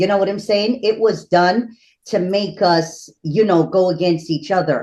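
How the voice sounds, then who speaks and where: A woman at medium pitch and a moderate pace in a normal speaking voice, against a quiet background. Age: 50s. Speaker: spiritual priestess. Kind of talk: casual interview conversation.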